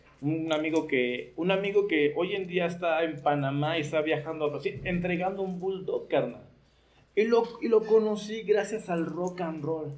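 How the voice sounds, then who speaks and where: In a room with audible echo and noticeable background noise, a man speaks at a moderate pace in a high voice with ordinary pitch variation. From Mexico, Nezahualcóyotl (State of Mexico). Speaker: leather clothing designer and biker. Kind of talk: casual chat.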